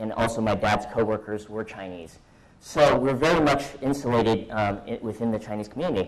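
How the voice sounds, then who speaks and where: A man talks at a moderate pace with a Californian accent. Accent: American, California. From US West Coast, San Francisco Bay Area. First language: Mandarin. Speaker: conference speaker. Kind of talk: personal talk to audience. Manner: halting, many fillers.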